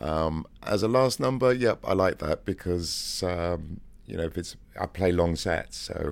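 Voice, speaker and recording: A man speaks with an English accent in a very clean recording with a silent background. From England. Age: 50s. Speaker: DJ. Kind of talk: interview.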